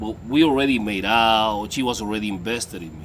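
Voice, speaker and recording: This is a man speaking at medium pitch. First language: Spanish. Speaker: dating coach. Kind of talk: casual vlog monologue. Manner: animated.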